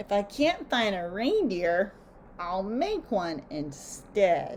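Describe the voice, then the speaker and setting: Over clear background noise, a woman growls at a very slow pace in a put-on character voice of medium pitch. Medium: read story. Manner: snarling, sneering.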